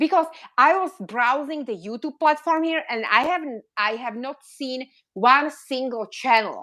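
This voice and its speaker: On a very clean recording with a silent background, a woman with a non-native accent and high pitch makes very wide pitch swings. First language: not English. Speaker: reborn doll collector, YouTuber. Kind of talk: live stream discussion. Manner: animated.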